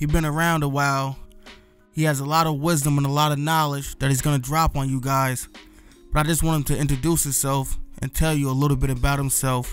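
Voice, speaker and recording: A man talks at a fairly quick pace with monotone, flat intonation. His pitch is fairly high, and music plays in the background. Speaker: wedding and portrait photographer, podcast host. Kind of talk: podcast intro.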